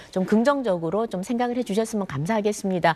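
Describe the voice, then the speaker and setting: A woman has an ordinary speaking voice, with medium pitch and lively intonation. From Gyeongbuk, South Korea (Pohang). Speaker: politician. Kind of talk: TV news panel discussion.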